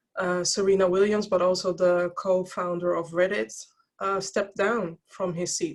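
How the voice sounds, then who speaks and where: A woman with a Dutch accent speaks with fairly even intonation. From Netherlands. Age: 40s. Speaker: diversity and wellbeing speaker, podcaster. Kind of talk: interview.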